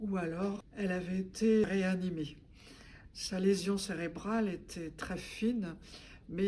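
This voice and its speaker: A medium-pitched woman's voice with fairly even intonation and audible room echo. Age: 70s. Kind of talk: testimony. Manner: hesitant with frequent fillers.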